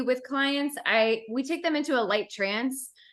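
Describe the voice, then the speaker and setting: A woman's raised, projected voice, high in pitch with a bright, sharp tone, ordinary pitch variation and a fairly slow pace, in a very clean recording over a silent background. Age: 30s. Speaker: coach and hypnotherapist. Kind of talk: interview.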